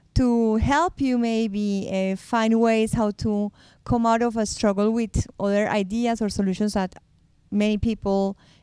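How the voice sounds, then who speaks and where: A woman with a Spanish accent speaks at a fairly slow pace in a fairly high voice with a dark, mellow tone, on a very clean recording with a silent background. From Colombia. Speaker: podcast co-host. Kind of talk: casual chat.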